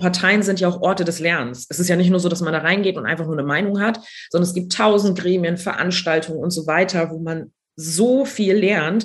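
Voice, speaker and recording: A somewhat breathy voice at a fairly quick pace with ordinary pitch variation. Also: woman, fairly low pitch for a woman. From Schleswig-Holstein, Neumünster. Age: 20s. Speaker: politician. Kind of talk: interview.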